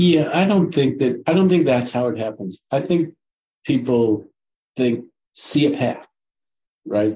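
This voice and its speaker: A man with an American accent, medium pitch, a somewhat breathy, dark and mellow tone, lively intonation, a fairly slow pace and long, frequent pauses. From Detroit, US Midwest. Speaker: local politician. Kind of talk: interview.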